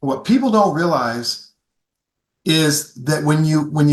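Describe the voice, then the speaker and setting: A man's fairly high, somewhat breathy voice with lively intonation at a fairly quick pace. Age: 60s. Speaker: golf equipment company founder, former long drive competitor. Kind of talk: podcast interview. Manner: animated.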